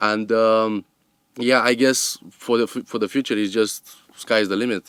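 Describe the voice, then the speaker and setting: Recorded very clean with a silent background and a dry, close sound with no echo, a man with a non-native accent speaks fairly slowly at medium pitch in a monotone, flat intonation. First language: not English. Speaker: sound recordist, company owner. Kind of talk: interview. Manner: hesitant, many fillers.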